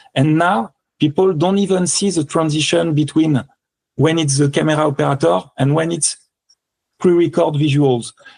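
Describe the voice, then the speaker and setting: With a French accent, a man talks at a fairly high pitch and very even loudness. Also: ordinary pitch variation, moderate pace. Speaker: electronic music composer and performer. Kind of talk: interview. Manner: halting.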